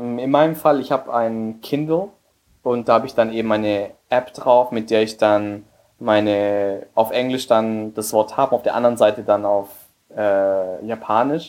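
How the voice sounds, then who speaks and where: A man speaks with a Spanish accent. His pitch is medium. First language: Spanish (speaking German). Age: 20s. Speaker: emigrant and business graduate. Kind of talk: interview.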